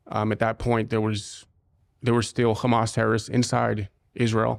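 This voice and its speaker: In a very clean recording with a silent background, a man speaks at a medium pitch with vocal fry. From US Midwest, Cincinnati Ohio. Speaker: former soldier, security company founder. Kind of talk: interview. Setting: studio.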